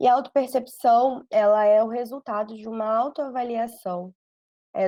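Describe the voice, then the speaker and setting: This woman's fairly high voice carries a dark, mellow tone as she talks at a fairly slow pace. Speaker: psychologist. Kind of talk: podcast interview.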